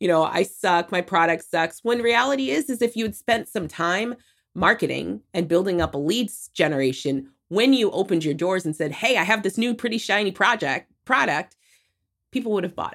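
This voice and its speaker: A woman at a moderate pace with lively intonation, on a very clean recording with a silent background. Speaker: digital marketing strategist. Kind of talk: casual interview chat. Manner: high energy.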